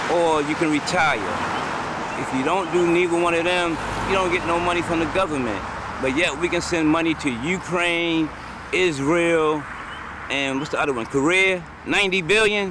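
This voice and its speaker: A man's high-pitched voice at a moderate pace, fairly even in intonation, with long, frequent pauses, audible room echo and noticeable background noise. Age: 60s. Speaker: panhandling war veteran. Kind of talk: street interview. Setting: outdoors on a road median.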